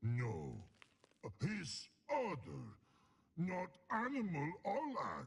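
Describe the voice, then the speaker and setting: Putting on a character voice, a man growls at a high pitch, moving at a very slow pace with long, frequent pauses. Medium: video game. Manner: broken, halting speech.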